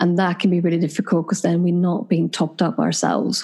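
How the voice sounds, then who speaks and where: With a Swedish accent, a woman talks in a fairly low pitch and a dark, mellow tone. Vocal fry runs through her voice. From Sweden. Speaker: clinical psychologist and couples therapist. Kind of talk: interview.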